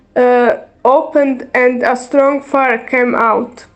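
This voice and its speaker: In a Croatian accent, a woman speaks very slowly at a high pitch with monotone, flat intonation, against noticeable background noise. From Bosnia and Herzegovina. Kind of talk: testimony read aloud from notes. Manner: halting.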